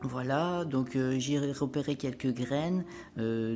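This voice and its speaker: Music sounds behind the voice. A woman talks very slowly. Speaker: spiritual lifestyle vlogger. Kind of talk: casual vlog monologue. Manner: hesitant, many fillers.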